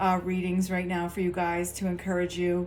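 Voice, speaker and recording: A woman is talking. Her pitch is medium. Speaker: tarot reader and spiritual coach. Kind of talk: casual direct-to-camera talk. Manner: low key, subdued.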